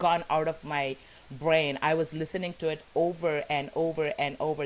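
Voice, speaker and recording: An animated woman's voice with a Tamil accent, very deep and low in pitch, at a moderate pace. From South India (Tamil). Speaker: talk show host. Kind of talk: live interview introduction. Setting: live broadcast. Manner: halting, many fillers.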